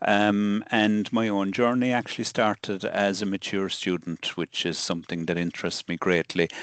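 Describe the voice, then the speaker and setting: In an Irish accent, a man speaks at a moderate pace and fairly low pitch with fairly even intonation and hardly any pauses, the sound dry and close with no echo. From southern Ireland. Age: 60s. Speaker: solicitor and law lecturer. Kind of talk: interview conversation. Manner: hesitant, many fillers.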